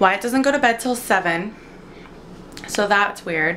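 This woman speaks at a moderate pace with ordinary pitch variation, and light background noise can be heard. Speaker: vlogger. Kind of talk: casual vlog chat. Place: kitchen. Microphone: phone near.

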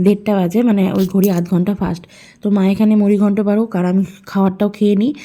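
In a very clean recording with a silent background, a woman speaks at a medium pitch in a dark, mellow tone, her intonation monotone and flat and her loudness very even. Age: 20s. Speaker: vlogger. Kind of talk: casual vlog narration. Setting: at home.

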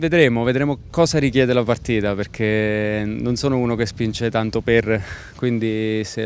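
A man's fairly low voice with fairly even intonation, dry with no echo, over light background noise. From Italy, Abruzzo (Pescara); Abruzzo, Italy. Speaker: professional footballer. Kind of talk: press interview. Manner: halting, with repetitions. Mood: relaxed, smiling. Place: open country. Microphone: handheld.

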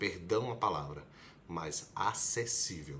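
The man's voice is bright and sharp, with vocal fry. He speaks very slowly, and his pitch swings very widely. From Brazil, Recife (Pernambuco); Pernambuco, Brazil. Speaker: medical student, video blogger; video blogger. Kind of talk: casual explainer vlog. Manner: conversational, direct address to viewer. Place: home room. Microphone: phone near.

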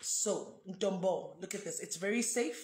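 A woman's somewhat breathy voice carries audible room echo. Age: 30s. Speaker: foundation founder. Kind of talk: live video product demonstration. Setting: live video stream. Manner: animated. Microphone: phone near.

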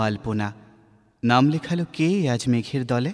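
A man's unremarkable speaking voice, medium in pitch, with lively intonation. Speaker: radio jockey, reciter. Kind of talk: poetry reading.

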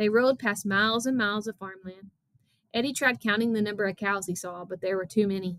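A natural reading voice, with pitch that moves an ordinary amount, sits over a quiet background.

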